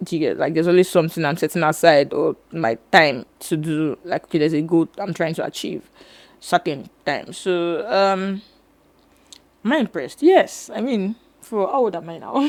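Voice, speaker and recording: Using an ordinary speaking voice, a woman talks at a moderate pace with lively intonation. Her pitch is fairly low. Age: 20s. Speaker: filmmaker. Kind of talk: interview.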